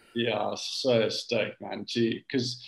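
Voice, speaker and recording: The man's speech carries a South African accent. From South Africa, Cape Town. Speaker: big wave surfer. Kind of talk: casual chat.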